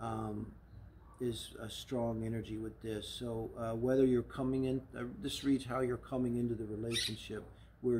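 A man talks at a moderate pace in a flat, monotone delivery. His voice is somewhat breathy, with light background noise behind it. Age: 60s. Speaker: tarot reader and astrologer; tarot reader. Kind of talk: tarot reading monologue. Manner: casual, with frequent fillers. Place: garden.

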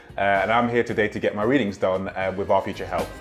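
Faint music plays in the background as a man talks at a very fast pace. His voice is fairly low in pitch. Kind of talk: promotional testimonial interview. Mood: warm, encouraging.

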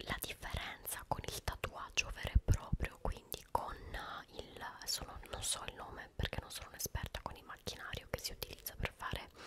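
Soft-spoken and whispering, a woman talks at a moderate pace over loud background noise. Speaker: ASMR-style vlogger. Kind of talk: casual vlog chat. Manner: soft close-mic ASMR whisper. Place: home room. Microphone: studio mic.

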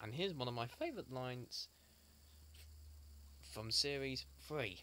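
A man speaks at a slow pace with lively intonation and a bright, sharp tone. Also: medium pitch for a man.

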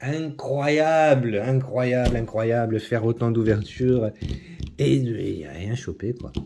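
A man speaks at a very slow pace in a dark, mellow tone with ordinary pitch variation, over light background noise. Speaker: YouTuber opening trading card packs. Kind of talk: casual unboxing video monologue. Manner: hesitant, many fillers and repetitions; low-energy, trying to sound livelier. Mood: enthusiastic, mildly wry. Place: home room. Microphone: phone near.

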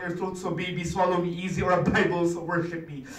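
A man talks at a very fast pace with a high pitch. Room echo is audible. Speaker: spoken word poet. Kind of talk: spoken word poetry performance. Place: meeting room. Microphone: camera far.

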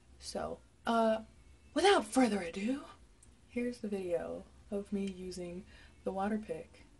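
At a moderate pace, a woman is speaking. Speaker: vlogger. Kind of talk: casual vlog chat. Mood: playful, relaxed. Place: bathroom. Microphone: phone near.

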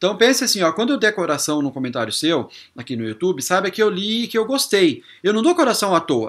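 Against a quiet background, a man speaks at a very fast pace in a high voice, his pitch swinging very widely. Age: 40s. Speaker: YouTuber. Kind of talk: vlog to camera. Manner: casual, repetitive filler words. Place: home room.

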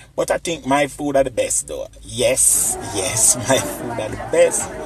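Clear music plays in the background while a man talks at a very slow pace. The sound is dry, with no echo. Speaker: family food vlogger. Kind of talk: casual vlog chat. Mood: cheerful, playful. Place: cafe. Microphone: phone near.

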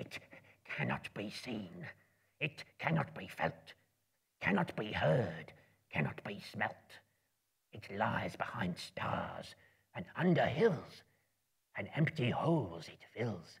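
In a whispered, raspy put-on character voice with hissing, the speech moves at a fairly slow pace with long, frequent pauses. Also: man. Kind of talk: dramatic reading to live audience. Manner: creepy, wheedling, talks to himself; hungry, menacing.

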